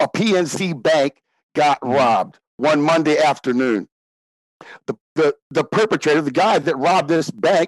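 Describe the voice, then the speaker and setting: In an American accent, a man with a plain, everyday voice speaks in a fairly high pitch with ordinary pitch variation, the sound dry and close with no echo. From Cincinnati, Ohio. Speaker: radio show caller and fan. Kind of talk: casual interview chat.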